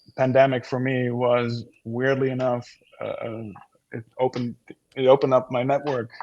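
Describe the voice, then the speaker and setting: The speech moves at a moderate pace in a monotone, flat intonation, broken by long, frequent pauses. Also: man, medium pitch for a man. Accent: Dutch. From Netherlands. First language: Dutch. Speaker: actor. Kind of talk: casual chat. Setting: video call from home office. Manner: halting.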